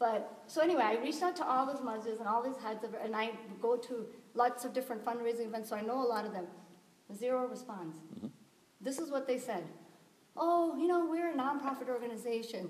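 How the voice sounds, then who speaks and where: A woman with a high voice and an American accent at a fairly quick pace, with long, frequent pauses, ordinary pitch variation, audible room echo and noticeable background noise. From US South, Tennessee. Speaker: community volunteer. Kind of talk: community meeting discussion.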